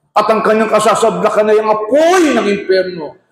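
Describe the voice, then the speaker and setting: A man's animated voice at a moderate pace, with audible room echo. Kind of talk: religious debate. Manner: loud.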